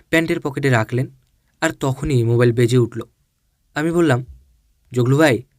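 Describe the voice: Plain reading aloud with ordinary pitch variation, over a quiet background.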